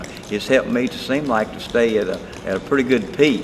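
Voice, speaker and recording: Moderate-paced male speech amid audible room echo and noticeable background noise. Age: 70s. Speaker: clogging class participant. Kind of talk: testimonial interview.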